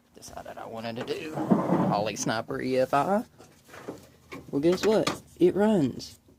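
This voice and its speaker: With a Southern US accent, a man speaks at medium pitch with very wide pitch swings. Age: 30s. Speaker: DIY video maker. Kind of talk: casual vlog. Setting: outdoors. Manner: stumbles over words.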